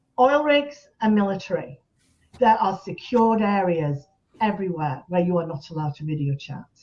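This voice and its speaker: Her somewhat breathy voice sits at a medium pitch for a woman, with very wide pitch swings at a moderate pace. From northern England, West Yorkshire. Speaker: support group founder. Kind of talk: interview.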